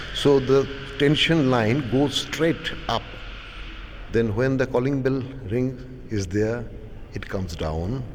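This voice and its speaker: Amid noticeable background noise and audible room echo, a man of medium pitch speaks very slowly with long, frequent pauses and ordinary pitch variation. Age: 60s. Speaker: painter. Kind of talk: interview.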